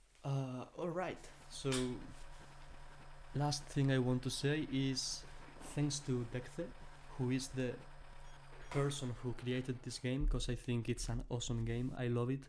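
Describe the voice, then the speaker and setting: A man's monotone, flat, medium-pitched voice at a fairly slow pace, with long, frequent pauses and audible room echo. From Spain. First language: Spanish. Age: young. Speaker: gaming streamer. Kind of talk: casual live-stream commentary. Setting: live stream. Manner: halting, hesitant with fillers.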